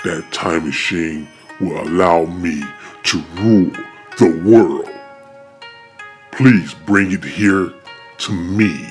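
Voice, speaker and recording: Faint music sits behind a man speaking at a very slow pace with a very deep, low pitch. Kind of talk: amateur fan-film voice acting. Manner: bossy, impatient, gloating.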